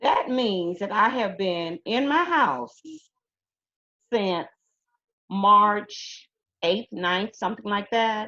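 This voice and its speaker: In an Alabama accent, a woman speaks very slowly with a bright, sharp tone and ordinary pitch variation, in a dry, close sound with no echo. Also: quiet background. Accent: Southern US (Alabama). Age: 60s. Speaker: retired teacher. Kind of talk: interview. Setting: video call.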